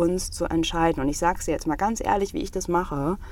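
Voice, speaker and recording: Against noticeable background noise, a woman speaks in a fairly low pitch with ordinary pitch variation. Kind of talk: personal monologue. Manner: emotional, heartfelt.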